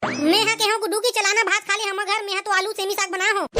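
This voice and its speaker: A woman speaks very fast in a cartoonish character voice at an extremely high pitch, her intonation fairly even, with faint music and sound effects in the background. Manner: warm, homely.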